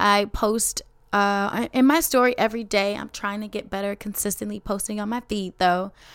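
Animated and in a Chicago accent, a woman speaks at a moderate pace and medium pitch with ordinary pitch variation. The recording is very clean, with a silent background. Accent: Chicago American English. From Chicago, west side. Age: 20s. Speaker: teacher and podcast host. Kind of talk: casual podcast monologue.

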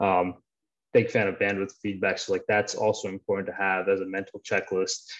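Here a man talks at a fairly quick pace. The background is quiet. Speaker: PhD candidate and performance scientist. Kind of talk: panel discussion.

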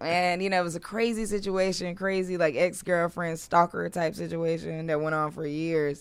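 On a very clean recording with a silent background, a woman with a plain, everyday voice speaks at a moderate pace and fairly low pitch, with fairly even intonation and hardly any pauses. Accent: American. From US South, Durham, North Carolina. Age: 30s. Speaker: creative entrepreneur and digital coach. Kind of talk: casual interview chat. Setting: studio.

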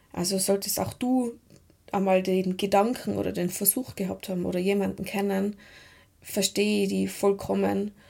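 A woman speaks with a slight Tyrolean accent at a moderate pace. The recording is very clean, with a silent background. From Tyrol, Austria. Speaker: mental trainer and podcast host. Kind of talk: personal monologue podcast.

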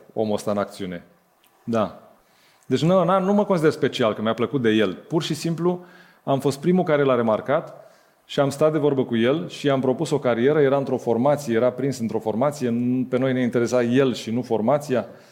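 On a very clean recording with a silent background, a man speaks at medium pitch. His pace is moderate, his pitch variation ordinary, and his pauses long and frequent. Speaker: music label co-founder. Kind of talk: live interview on stage. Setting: stage with audience.

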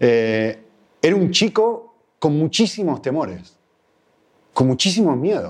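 This man speaks with an Argentine accent, his fairly high pitch moving in very wide swings. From Argentina. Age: 40s. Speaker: guest preacher. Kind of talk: sermon.

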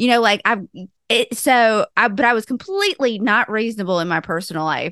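With a Southern US accent and medium pitch, a woman speaks at a moderate pace in an animated, bright, sharp tone with lively intonation, against a quiet background with a dry, close sound and no echo. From US South. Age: 30s. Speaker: intuitive life coach and podcast co-host. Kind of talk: casual chat.

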